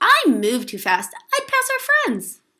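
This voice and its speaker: Squeaky and put-on, this character voice moves at a fairly slow pace. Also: woman. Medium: read story.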